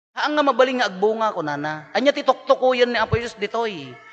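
A man speaks at an extremely high pitch. His tone is animated. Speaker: priest giving homily. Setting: church or mass with a congregation. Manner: animated, jokey, conversational; earnest and exhortative, preaching about the heart and correction.

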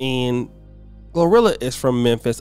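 A man talks fairly slowly while music runs in the background. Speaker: commentary YouTuber. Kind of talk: casual talk to camera.

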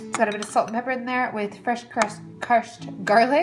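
A woman speaks while music plays clearly behind her. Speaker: food vlogger. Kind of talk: casual vlog chat. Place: kitchen. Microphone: phone near.

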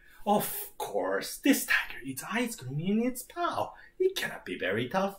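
Moderate pace and fairly high pitch in a put-on character voice. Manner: dismissive, patronizing.

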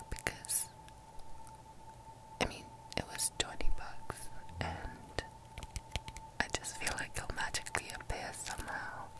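A woman is whispering. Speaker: university student vlogger. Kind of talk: casual vlog chat. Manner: soft, close, hushed ASMR speaking. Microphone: earbuds.

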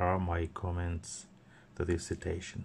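Speaking at a very slow pace, a man with a non-native accent has a very deep, low pitch, a dark, mellow tone, and a somewhat breathy sound over light background noise. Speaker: e-reader seller and reviewer. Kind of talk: product demo narration. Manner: hesitant, many fillers. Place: office. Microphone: phone near.

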